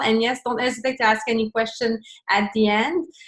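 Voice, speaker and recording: Against a quiet background, a woman with a Quebec accent speaks at a moderate pace in a fairly high pitch with ordinary pitch variation. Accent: Québécois French accent in English. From Quebec, Montreal. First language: French. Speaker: fitness coach and business owner. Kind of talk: online presentation. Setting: video call. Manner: halting, searching for words.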